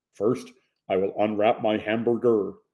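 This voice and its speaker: This is a put-on, robotic character voice. It moves at a moderate pace. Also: man, medium pitch for a man. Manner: slow, robotic.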